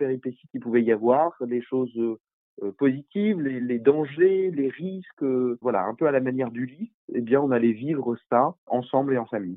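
A man at medium pitch, moderate pace, and ordinary pitch variation. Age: 50s. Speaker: NGO founder. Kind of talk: interview. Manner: halting.

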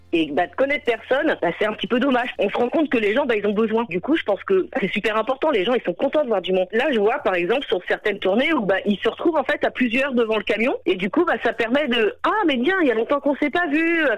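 A woman talks at a very fast pace in a high pitch, with very wide pitch swings and hardly any pauses. Her loudness stays very even against noticeable background noise. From Normandy, Seine-Maritime. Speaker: mobile grocer. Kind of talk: interview. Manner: casual, hesitant with fillers.

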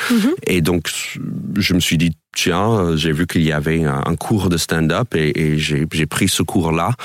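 At a very slow pace, the voice keeps fairly even intonation and very even loudness in a dry, close sound with no echo, over noticeable background noise. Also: man, very deep, low pitch for a man. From New York suburbs, US. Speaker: stand-up comedian. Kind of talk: radio interview. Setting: radio studio. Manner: hesitant, filler-heavy.

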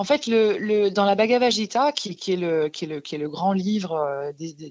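The speaker is a woman with a medium pitch. She talks fairly slowly. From France, Alsace. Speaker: holistic therapist. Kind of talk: radio interview. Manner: halting, many repetitions and hesitations.

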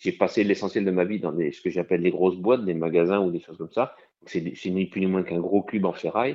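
Speaking fairly quickly, a man uses a very deep, low pitch with fairly even intonation. His loudness swings widely. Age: 60s. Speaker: snail farmer. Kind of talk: interview.

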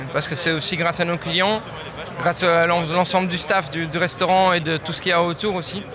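Speaking at a moderate pace in a high pitch, a man is heard with audible room echo and noticeable background noise. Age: 20s. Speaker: chef. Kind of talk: interview.

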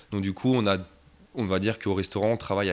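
Flat and monotone, a man speaks at a fairly low pitch on a very clean recording with a silent background. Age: 30s. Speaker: shop and restaurant owner, pastry chef. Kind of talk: interview.

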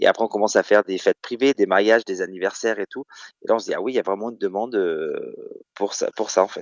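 A man's very fast speech, broken by long, frequent pauses, with big swings in loudness. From Normandy, France (Caen). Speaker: drag queen. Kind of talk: radio interview.

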